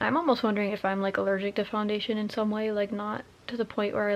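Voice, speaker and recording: A woman's medium-pitched voice at a fairly quick pace, with monotone, flat intonation. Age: 20s. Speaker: vlogger. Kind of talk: casual vlog talk. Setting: at home. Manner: casual, filler-heavy.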